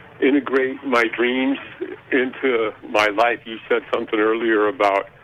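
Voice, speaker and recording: A man's medium-pitched voice at a fairly slow pace, fairly even in intonation, against noticeable background noise. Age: 60s. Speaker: caller, contractor. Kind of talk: call-in conversation. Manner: halting.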